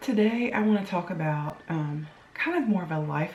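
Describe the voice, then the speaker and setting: A quiet woman with lively intonation, amid audible room echo and noticeable background noise. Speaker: blogger. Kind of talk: casual vlog talk. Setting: home kitchen. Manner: talking low, quiet.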